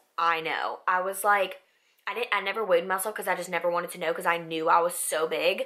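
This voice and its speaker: On a very clean recording with a silent background, a woman's bright, sharp voice carries an animated tone. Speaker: beauty vlogger. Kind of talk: casual chat.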